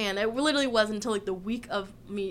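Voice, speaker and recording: A woman with an American accent speaks at a fairly quick pace. Her medium-pitched voice shows ordinary pitch variation. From Southern California (Orange County). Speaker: tattoo artist. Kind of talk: casual chat.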